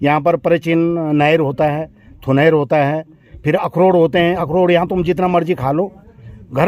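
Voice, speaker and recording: This man has a fairly high pitch. His intonation stays fairly even. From Uttarakhand, Garhwal hills. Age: 60s. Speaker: local villager. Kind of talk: storytelling interview. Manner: halting.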